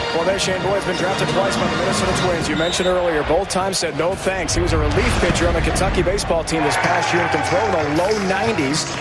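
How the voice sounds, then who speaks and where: Over loud background music, a man speaks very fast with hardly any pauses, a high pitch, fairly even intonation and very even loudness, in a dry sound with no echo. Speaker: sideline reporter. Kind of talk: sideline reporting. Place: stadium. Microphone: handheld.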